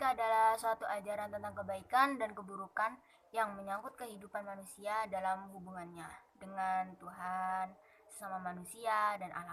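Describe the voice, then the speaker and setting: Shrill and fairly even in intonation, a woman speaks at a moderate pace. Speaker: university student. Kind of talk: class presentation. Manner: formal, read from text.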